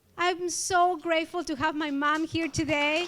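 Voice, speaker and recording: A woman with an Ecuadorian accent and a high pitch. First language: Spanish. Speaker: award honoree, community organizer. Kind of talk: award acceptance speech. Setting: event hall with audience.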